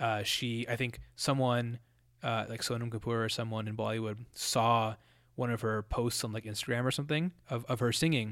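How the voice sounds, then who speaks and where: At a moderate pace and with fairly even intonation, the speaker uses a General American accent in a very clean recording with a silent background. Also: man, medium pitch for a man. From US, Colorado. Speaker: student podcaster. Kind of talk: solo monologue. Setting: home basement. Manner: casual, many fillers and self-repeats.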